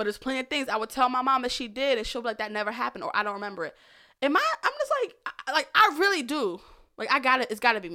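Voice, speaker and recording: A woman's high, bright, sharp, raised and projected voice, animated in tone, very fast, with lively intonation. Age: 30s. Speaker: podcast guest, childhood storyteller. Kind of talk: casual chat.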